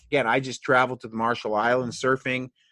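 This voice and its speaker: Against a quiet background, a man speaks in an animated way with a bright, sharp tone. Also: dry, close sound with no echo. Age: 60s. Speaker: chiropractor. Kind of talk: podcast interview.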